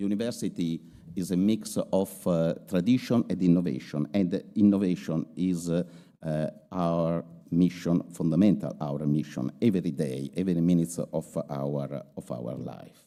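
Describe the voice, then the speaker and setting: A man with an Italian accent speaks at a fairly slow pace in a very deep, low voice with a dark, mellow tone. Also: ordinary pitch variation. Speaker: university rector. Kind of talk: formal speech. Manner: halting, many hesitations.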